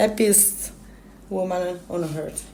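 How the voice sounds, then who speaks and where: A woman with an Italian accent, medium pitch and a dark, mellow tone, at a very slow pace with monotone, flat intonation. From Italy, Turin. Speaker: climber and mountain guide. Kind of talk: interview. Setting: radio interview. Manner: halting.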